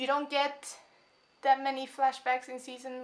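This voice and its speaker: A woman is heard here. Her voice is high-pitched. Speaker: video reviewer. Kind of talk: casual vlog review. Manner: rambling, hyped.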